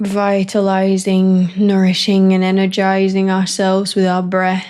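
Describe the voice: A woman's clear, smooth, slightly mellow voice sits at a medium pitch. She speaks at a fairly slow pace with monotone, flat intonation.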